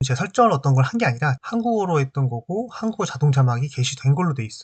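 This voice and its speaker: A man's fairly high, somewhat breathy voice with very wide pitch swings at a fairly quick pace, dry and close with no echo. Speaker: HR training YouTuber. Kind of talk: tutorial. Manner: pauses mid-sentence; casual, filler-heavy.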